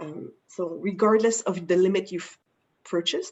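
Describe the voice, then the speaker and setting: A woman with a French Canadian accent speaks at a medium pitch with fairly even intonation. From Quebec, Canada. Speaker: insurance broker. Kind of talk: webinar presentation. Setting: online webinar.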